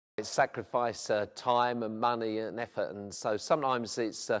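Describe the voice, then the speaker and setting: A man with a South London accent at medium pitch and a fairly quick pace, quiet background. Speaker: vicar. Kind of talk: documentary interview. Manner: hesitant, with frequent fillers.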